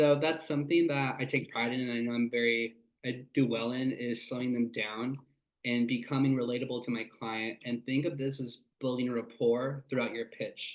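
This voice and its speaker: In an American accent, a man speaks at medium pitch with monotone, flat intonation. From California Central Valley. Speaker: sales rep. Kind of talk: workshop talk. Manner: fast.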